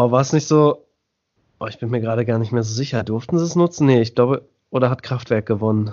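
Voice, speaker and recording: A man's medium-pitched voice at a very fast pace. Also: ordinary pitch variation. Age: 30s. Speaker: musician. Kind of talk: casual chat.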